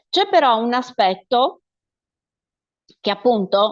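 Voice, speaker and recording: A woman's high voice with very wide pitch swings and a Sardinian accent, over a quiet background. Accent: Sardinian accent when speaking as herself. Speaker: actress. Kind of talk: interview, casual chat.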